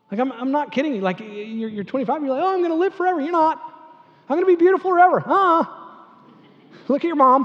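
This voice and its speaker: Speaking at a very fast pace, a man uses an extremely high pitch and lively intonation, with long, frequent pauses. Noticeable background noise runs under him. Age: 50s. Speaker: pastor. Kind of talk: sermon. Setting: church. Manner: conversational, many fillers and repeats.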